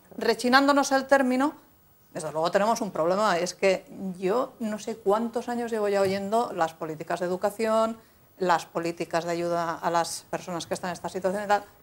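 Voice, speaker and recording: Moderate pace and ordinary pitch variation from a woman. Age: 40s. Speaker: local politician. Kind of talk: TV panel debate. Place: studio. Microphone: lapel.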